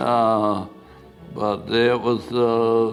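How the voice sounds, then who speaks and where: A man talks in an American accent with music playing in the background. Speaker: WWII B-17 bomber pilot, war veteran. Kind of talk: oral history interview answer.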